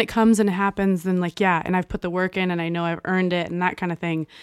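A woman with an American accent, medium pitch and a very fast pace, hardly any pauses, recorded very cleanly against a silent background with a dry, close sound and no echo. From Texas. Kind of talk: casual chat, friendly banter. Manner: warm, enthusiastic.

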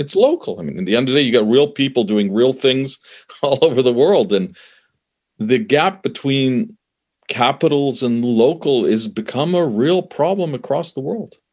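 Over a quiet background, a man with a Canadian accent uses an ordinary speaking voice at a fairly high pitch, moderate pace, and lively intonation. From Canada. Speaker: conflict resolution expert, former diplomat. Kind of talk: interview conversation.

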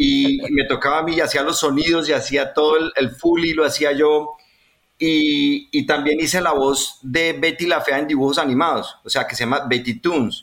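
With a Colombian accent, a man talks at a moderate pace. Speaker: voice actor. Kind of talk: casual chat. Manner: animated.

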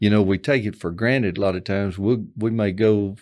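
The recording is very clean with a silent background. A man with an unremarkable speaking voice talks at a moderate pace and fairly low pitch. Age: 60s. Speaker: trucking safety manager retiring after a driving career. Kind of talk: casual interview.

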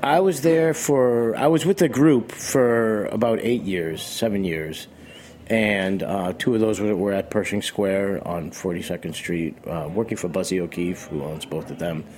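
A man with an American accent speaks fairly slowly, with lively intonation. Noticeable background noise is present. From Boston, Massachusetts. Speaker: chef. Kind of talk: casual interview. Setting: radio studio.

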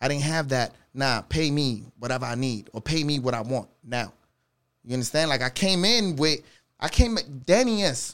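A man in a New York accent talks at a moderate pace with a fairly high pitch and lively intonation on a very clean recording with a silent background. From New York, the Bronx. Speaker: DJ. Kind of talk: casual chat.

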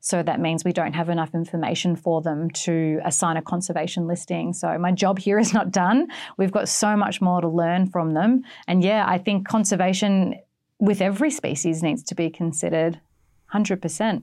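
A woman speaks in a fairly low, dark and mellow voice on a very clean recording with a silent background. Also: ordinary pitch variation, moderate pace. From Australia. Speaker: marine biologist. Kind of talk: interview. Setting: studio.

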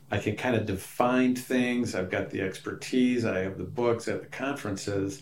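At a moderate pace with hardly any pauses, the speech carries fairly even intonation and audible room echo. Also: man, medium pitch for a man. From rural Wisconsin, US Midwest. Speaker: pastor and church planter. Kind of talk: interview.

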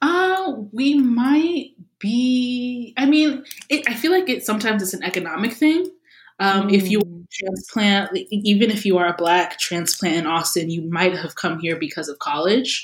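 Animated in tone and somewhat breathy, a woman speaks at a moderate pace with a fairly high pitch and very wide pitch swings. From Louisiana. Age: 30s. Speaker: YouTube video creator. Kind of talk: casual interview chat. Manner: animated, laughs often.

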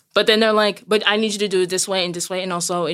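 A woman speaks with an American accent and ordinary pitch variation. The recording is very clean, with a silent background. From US, Brooklyn, New York. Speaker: seamstress and retail worker. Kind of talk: interview. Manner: loud.

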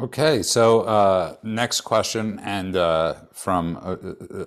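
In a very clean recording with a silent background, a man speaks with an American accent. His voice is very deep and low, with ordinary pitch variation. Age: 40s. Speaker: podcast co-host. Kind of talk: casual chat. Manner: animated.

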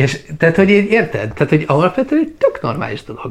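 Somewhat breathy and at a fairly quick pace, a man talks with very wide pitch swings. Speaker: travel vlogger. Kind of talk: casual chat. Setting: at home.

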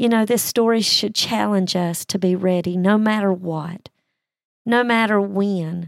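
A woman with a plain, everyday voice speaks at medium pitch and a fairly slow pace, with fairly even intonation and very even loudness on a very clean recording with a silent background. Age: 60s. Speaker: Bible teacher podcaster. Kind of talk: Bible study talk.

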